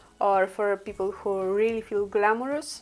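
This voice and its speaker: A moderate pace with a Polish accent. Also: woman. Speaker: beauty vlogger. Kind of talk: makeup tutorial. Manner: halting.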